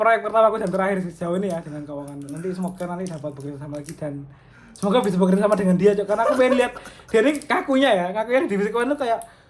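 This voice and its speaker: Noticeable background noise is heard. The words come very fast. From East Java, Surabaya. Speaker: podcast host. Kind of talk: casual chat.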